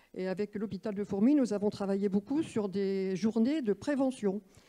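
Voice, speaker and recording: With a dark, mellow tone and medium pitch, a woman speaks at a moderate pace against a quiet background. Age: 70s. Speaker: retired doctor and patient representative. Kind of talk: round-table testimony.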